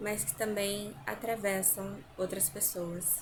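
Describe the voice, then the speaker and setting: Soft-spoken and somewhat breathy, a woman talks at a very slow pace with fairly even intonation amid audible room echo. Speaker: vlogger. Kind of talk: casual vlog chat. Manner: hesitant, with fillers.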